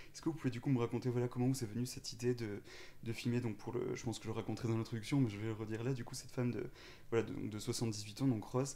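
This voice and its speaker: In a dark, mellow tone, a man speaks at medium pitch with monotone, flat intonation. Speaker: podcast host, interviewer. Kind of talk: interview.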